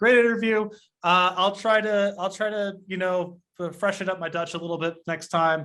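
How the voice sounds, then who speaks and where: A man with an American accent talks at a fairly quick pace. His voice is high-pitched and bright and sharp in tone, with fairly even intonation. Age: 40s. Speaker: game designer and interviewer. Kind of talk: interview.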